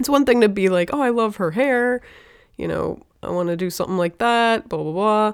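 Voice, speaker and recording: Over a silent background in a very clean recording, a woman with a normal speaking voice talks at a fairly quick pace, fairly high in pitch and with ordinary pitch variation. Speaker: podcast co-host, cartoonist. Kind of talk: casual banter. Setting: studio. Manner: teasing, playful.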